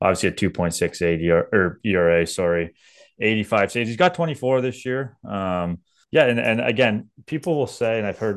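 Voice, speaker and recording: A man's fairly low, unremarkable speaking voice against a quiet background. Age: 30s. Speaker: baseball podcast co-host. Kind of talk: casual sports chat.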